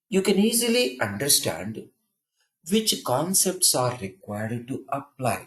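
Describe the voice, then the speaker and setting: Speaking with an Indian accent, a man moves through very wide pitch swings. His somewhat breathy voice keeps a fairly slow pace. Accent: Indian English, easy to follow. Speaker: programming trainer. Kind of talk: counselling talk. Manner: simple, repetitive phrasing.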